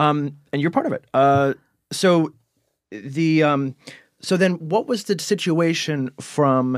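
A man with a Cleveland accent, fairly high in pitch, very slow in pace, with ordinary pitch variation, in a very clean recording with a silent background. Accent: Cleveland, Ohio. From Cleveland, Ohio. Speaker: magazine podcast interviewer. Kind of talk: casual interview chat. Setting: studio.

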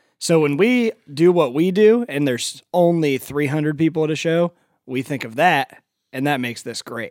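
In an American accent, a man with an ordinary speaking voice talks at a moderate pace, fairly high in pitch with lively intonation, the sound dry and close with no echo. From US Midwest (Ohio). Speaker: rock band member. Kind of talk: casual interview chat.

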